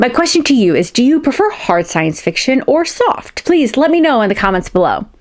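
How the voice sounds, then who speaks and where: With noticeable background noise behind her, a woman talks at a moderate pace in a high pitch with very wide pitch swings. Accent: American. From United States. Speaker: science fiction author and booktuber. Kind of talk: casual vlog talk to camera. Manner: conversational, some hesitations and repeats.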